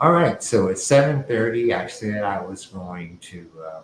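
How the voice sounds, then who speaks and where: Lively intonation in a man's somewhat breathy delivery. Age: 70s. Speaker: artist hosting live art show. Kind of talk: casual livestream chat. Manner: halting.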